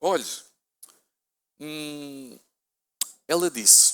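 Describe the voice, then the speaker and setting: A man speaks in a European Portuguese accent. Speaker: pastor. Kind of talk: sermon.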